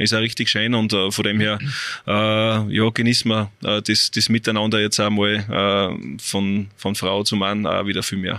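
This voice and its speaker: Bright, sharp tone at a fairly slow pace, monotone and flat, against a quiet background. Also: man, fairly low pitch for a man. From Austria, Salzburg (Seekirchen am Wallersee). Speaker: football coach, former pro player. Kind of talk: interview. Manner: halting, many fillers.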